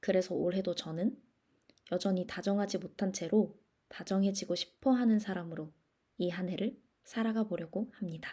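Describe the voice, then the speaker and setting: Her voice is medium in pitch and somewhat breathy, coming from a woman. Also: fairly even intonation. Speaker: podcast host. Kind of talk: scripted solo podcast monologue. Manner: deliberately slowed, careful pace.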